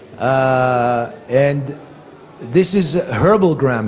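Here a man speaks with a fairly high pitch. His pitch varies in an ordinary way. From Israel. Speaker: medical cannabis researcher and advocate. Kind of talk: conference lecture. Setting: stage with audience. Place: hall.

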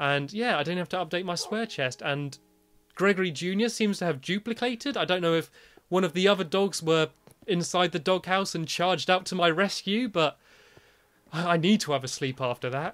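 Over music in the background, a man with a British accent speaks fairly quickly at a high pitch with ordinary variation. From Britain. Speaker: gaming video creator. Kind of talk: gameplay commentary.

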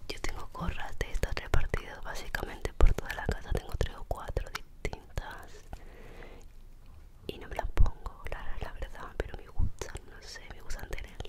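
A woman whispering in a gentle, relaxed tone, with big swings in loudness and noticeable background noise. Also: moderate pace. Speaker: ASMR creator. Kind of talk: ASMR soft spoken talk to camera. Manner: soft-spoken, gentle, relaxed.

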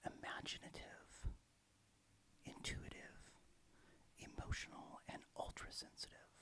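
A man whispers his words, going at a very slow pace. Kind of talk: ASMR reading about astrology. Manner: soft-spoken.

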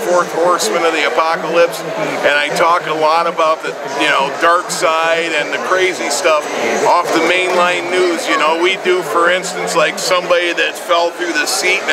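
A man speaks at a moderate pace through loud background noise. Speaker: radio host being interviewed. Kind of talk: interview answer. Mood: jovial, boastful. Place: hall.

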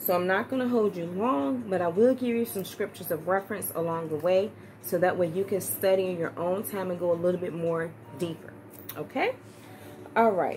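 Music plays in the background as a woman talks at a fairly quick pace. Her pitch varies in an ordinary way. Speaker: church minister teaching. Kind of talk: sermon-style teaching. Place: home room. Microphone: phone near.

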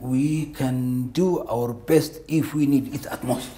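Audible room echo surrounds a man speaking with an Eritrean accent. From Ethiopia (Tigray). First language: Tigrinya. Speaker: war veteran. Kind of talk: interview. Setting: studio. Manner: halting.

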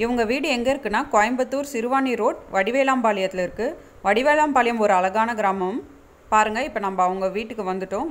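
A woman speaks in an ordinary speaking voice at a fairly high pitch. Her pitch varies in an ordinary way. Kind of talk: travel vlog narration.

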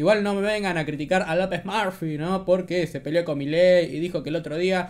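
Fairly even in intonation, a man talks at a fairly quick pace. His pitch is high. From Argentina. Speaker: political commentary youtuber. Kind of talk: casual commentary on news clips. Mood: sarcastic, mocking.

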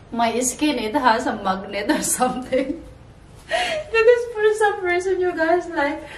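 A woman talks very slowly in a high voice. Audible room echo and light background noise surround her. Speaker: fashion vlogger. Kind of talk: casual try-on haul chat. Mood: cheerful, laughing often. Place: home room. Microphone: camera far.

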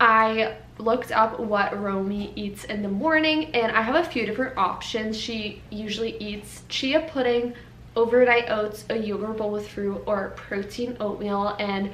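The woman talks at a fairly slow pace with ordinary pitch variation. Light background noise and audible room echo are present. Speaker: vlogger. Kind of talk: casual vlog chat. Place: kitchen. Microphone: camera far.

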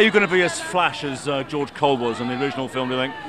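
The sound is dry with no echo, though noticeable background noise is present. A man speaks with ordinary pitch variation. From British. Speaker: presenter, TV and radio broadcaster, event host, voice-over. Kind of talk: TV interview and red-carpet presenting.

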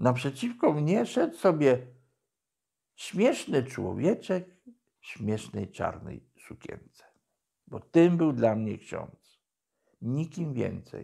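This man speaks at a very slow pace. He leaves long, frequent pauses. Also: big swings in loudness, quiet background. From Poland, Podkarpacie (Jasło); Podkarpacie, Poland. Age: 60s. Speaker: former drug addict sharing conversion story; interviewee. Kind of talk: testimony. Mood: calm, reflective storytelling. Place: office.

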